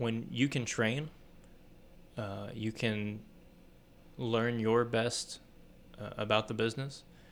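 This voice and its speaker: A man speaks at medium pitch with monotone, flat intonation. He goes at a very slow pace, with long, frequent pauses. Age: 30s. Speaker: advertising creative and wrestler. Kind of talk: casual chat.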